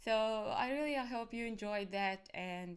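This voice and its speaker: A woman with an Arabic accent, a fairly high pitch and lively intonation at a moderate pace. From Egypt. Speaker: cybersecurity academic. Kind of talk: conference talk. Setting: live stream. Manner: soft-spoken; halting. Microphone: external mic, too quiet.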